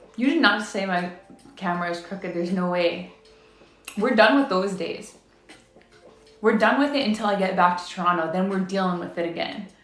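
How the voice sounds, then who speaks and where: Amid noticeable background noise and audible room echo, a woman speaks at a fairly quick pace in a medium pitch with ordinary pitch variation and long, frequent pauses. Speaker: live streamer. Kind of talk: casual chat.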